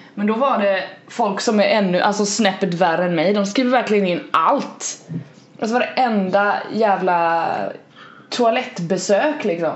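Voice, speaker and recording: A woman's medium-pitched voice at a fairly slow pace, with ordinary pitch variation, very even loudness and audible room echo. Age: 20s. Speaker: podcast co-host. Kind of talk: casual chat.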